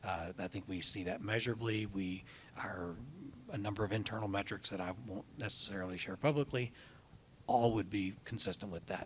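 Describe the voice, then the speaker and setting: An unremarkable speaking voice from a man, fairly low in pitch, at a fairly quick pace with fairly even intonation. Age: 60s. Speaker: hospital system CEO. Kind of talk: interview on stage.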